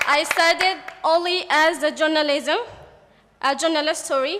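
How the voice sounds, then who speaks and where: With a Yemeni accent, a woman speaks at a high pitch and with fairly even intonation. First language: Arabic. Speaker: journalist and podcaster. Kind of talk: panel testimony. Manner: halting.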